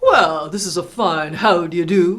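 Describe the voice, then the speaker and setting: A female-sounding put-on character voice at a middle pitch and moderate pace. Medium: read story. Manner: stammering when angry.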